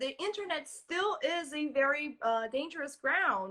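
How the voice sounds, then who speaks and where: Projected and raised, a woman's high, bright, sharp voice moves at a fairly slow pace with very wide pitch swings. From Brazil. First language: Portuguese. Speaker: social engineering security expert. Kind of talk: interview.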